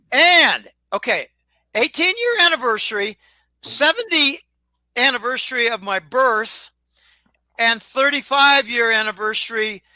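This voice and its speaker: A man's extremely high, bright and sharp voice, raised and projected, at a fairly slow pace with lively intonation and long, frequent pauses, dry and close with no echo. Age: 70s. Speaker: financial commentator. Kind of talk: casual chat. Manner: halting.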